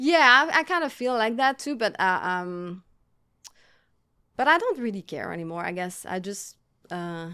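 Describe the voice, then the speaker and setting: On a very clean recording with a silent background, a woman with a fairly high pitch and a bright, sharp tone speaks at a moderate pace, her pitch swinging very widely between long, frequent pauses. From Quebec, Montreal. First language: French. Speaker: artist. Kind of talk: casual chat. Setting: studio. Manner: halting.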